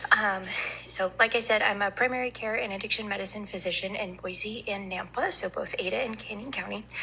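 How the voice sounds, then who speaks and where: Against noticeable background noise, a woman talks at a fairly high pitch with fairly even intonation. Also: fairly quick pace. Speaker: addiction medicine physician testifying. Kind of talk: legislative committee testimony. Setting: committee hearing room. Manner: hesitant, many ums. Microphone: too quiet, told to move closer.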